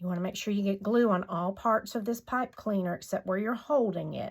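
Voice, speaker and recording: Medium pitch from a woman speaking in a Southern US accent. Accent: US South. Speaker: craft tutorial maker. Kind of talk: tutorial. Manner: casual, chatty.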